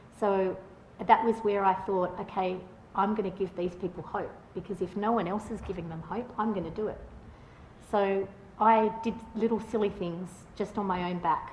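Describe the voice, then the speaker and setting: In an Australian accent, a woman speaks at a medium pitch and moderate pace with monotone, flat intonation. Long, frequent pauses break her speech, and room echo is audible. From Australia, Northern Beaches Sydney. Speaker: patient advocate. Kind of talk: conference talk. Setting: stage with audience. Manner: loud; halting.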